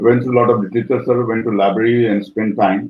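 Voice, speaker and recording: Here a man speaks with an Indian accent. His pace is fairly quick. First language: Maithili. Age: 60s. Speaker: professor. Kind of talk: life story interview. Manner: hesitant, many fillers.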